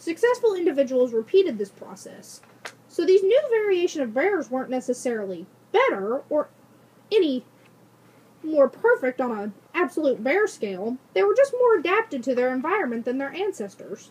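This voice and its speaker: A woman's high-pitched, put-on character voice at a moderate pace, with very wide pitch swings. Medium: read story. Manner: polite, professorial.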